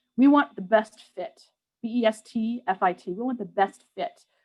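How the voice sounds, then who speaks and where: With an American accent, a woman speaks in a fairly high, somewhat breathy voice with ordinary pitch variation. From New York. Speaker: public health program staff. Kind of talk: webinar presentation. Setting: online webinar. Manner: fast.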